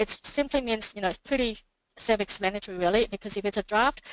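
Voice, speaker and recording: A woman's medium-pitched voice comes through with a dry, close sound and no echo. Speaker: software company co-founder presenting webinar. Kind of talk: webinar tutorial. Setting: online webinar. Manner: halting, many fillers and restarts; fast.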